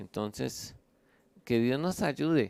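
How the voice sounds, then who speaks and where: Speech comes at a fairly slow pace with lively intonation. The recording is very clean with a silent background, and the sound is dry and close with no echo. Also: man. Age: 60s. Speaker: pastor. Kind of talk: sermon. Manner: halting, many fillers.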